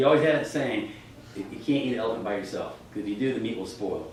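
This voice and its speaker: A man at medium pitch with ordinary pitch variation and a very fast pace, amid audible room echo and noticeable background noise. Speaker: real estate trainer. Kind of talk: class lecture. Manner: animated.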